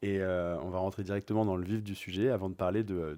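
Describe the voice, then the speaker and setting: A man talks at a moderate pace with a fairly low pitch and ordinary pitch variation. His tone is dark and mellow, recorded very cleanly against a silent background. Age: 30s. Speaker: podcast host and flight attendant. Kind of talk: casual interview chat. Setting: at guest's home on the sofa.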